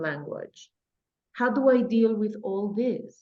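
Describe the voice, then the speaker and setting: A woman speaks in a fairly high pitch with a Spanish accent and ordinary pitch variation. Her tone is dark and mellow. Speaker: English teacher. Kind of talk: audience question. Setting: video call.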